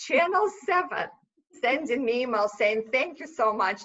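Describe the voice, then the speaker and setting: In a Russian accent, a woman speaks at a moderate pace with a high pitch and lively intonation. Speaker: small business owner. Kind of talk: podcast interview.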